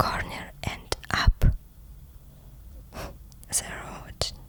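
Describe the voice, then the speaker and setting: A woman whispering at a very slow pace against noticeable background noise. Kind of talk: ASMR roleplay reading of a book passage. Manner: whispered, soft-spoken.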